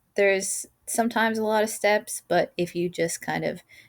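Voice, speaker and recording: The woman uses a normal speaking voice at a moderate pace with fairly even intonation, in a very clean recording with a silent background. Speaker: math teacher. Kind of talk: tutorial.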